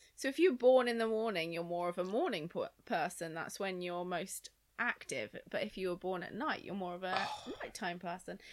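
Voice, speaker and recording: At a moderate pace, a woman speaks with an ordinary speaking voice at medium pitch, her pitch varying in an ordinary way. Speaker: podcast guest. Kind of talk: casual chat.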